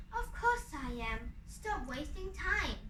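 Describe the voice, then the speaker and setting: In a put-on character voice, a woman speaks very slowly in a high pitch, with clear background noise behind her. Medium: read story.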